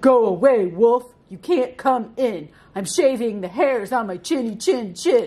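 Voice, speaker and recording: Shouting at a fairly slow pace, a female-sounding put-on character voice pitches fairly high. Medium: read story. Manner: rude, yelling.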